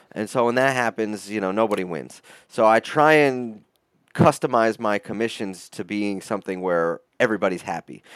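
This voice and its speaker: A man with an American accent and a plain, everyday voice talks at a moderate pace and fairly low pitch with ordinary pitch variation, in a very clean recording with a silent background and a dry, close sound with no echo. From upstate New York. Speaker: metal artist. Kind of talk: interview.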